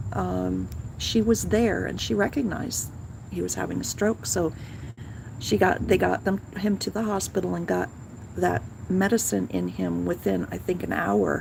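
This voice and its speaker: Moderate pace with long, frequent pauses. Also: woman. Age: 60s. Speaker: vlogger. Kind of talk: casual chat. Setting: outdoors. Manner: halting.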